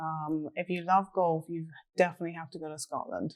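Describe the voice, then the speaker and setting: In an English accent, a woman with a fairly low pitch speaks with ordinary pitch variation. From England. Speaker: real estate agent. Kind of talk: casual interview.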